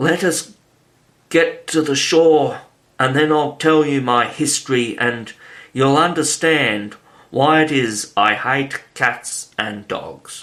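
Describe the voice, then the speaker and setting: A man in a put-on character voice speaks in a fairly high, shaky voice at a fairly slow pace with long, frequent pauses. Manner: grave, agitated.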